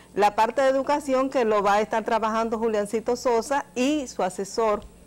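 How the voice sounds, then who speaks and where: With an unremarkable speaking voice, a woman talks at a moderate pace in a fairly high pitch with fairly even intonation. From Dominican Republic. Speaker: journalist. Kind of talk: interview. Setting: studio. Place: studio. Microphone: lapel.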